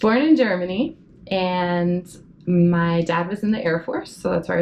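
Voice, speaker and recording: Speaking with an American accent, a woman has an unremarkable speaking voice, fairly low pitch, ordinary pitch variation, and a fairly slow pace. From Oklahoma and Virginia, US. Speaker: Antarctic station worker. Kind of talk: interview testimony.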